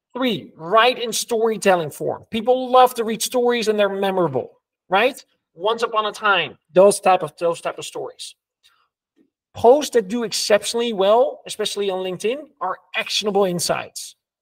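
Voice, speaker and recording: At a moderate pace, a man with a Dutch accent talks in a high pitch with ordinary pitch variation. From Netherlands. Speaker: entrepreneur, LinkedIn creator. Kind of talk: interview, casual chat.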